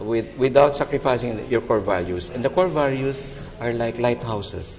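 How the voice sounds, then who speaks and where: Moderate pace and medium pitch from a man, with ordinary pitch variation and noticeable background noise. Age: 60s. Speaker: architect. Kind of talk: TV interview.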